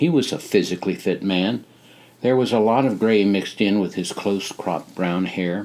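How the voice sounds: Ordinary pitch variation shapes the delivery. It is a natural reading voice.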